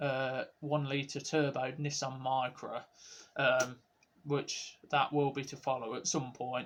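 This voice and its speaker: Very slowly, a man of medium pitch speaks in a monotone, flat intonation. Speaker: car modifying vlogger. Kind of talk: casual vlog outro.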